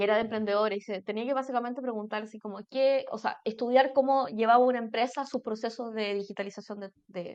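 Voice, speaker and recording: With a Chilean accent, a woman talks at a very fast pace and fairly high pitch, hardly pausing, her loudness swinging widely. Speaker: mentor. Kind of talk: casual chat. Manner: animated.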